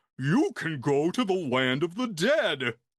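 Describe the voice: This is a put-on character voice. The pace is fairly slow. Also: man, high pitch for a man.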